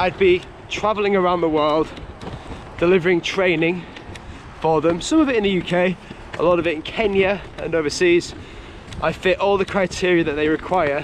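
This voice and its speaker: With a Yorkshire accent and a high pitch, a man talks at a moderate pace with fairly even intonation and long, frequent pauses, over noticeable background noise. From Yorkshire, England. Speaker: cycle touring vlogger. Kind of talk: casual vlog narration.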